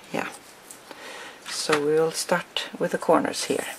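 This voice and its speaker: Against noticeable background noise, a woman speaks fairly slowly in a very deep, low voice. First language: not English. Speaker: crafting tutorial maker. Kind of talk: tutorial. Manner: hesitant, with fillers.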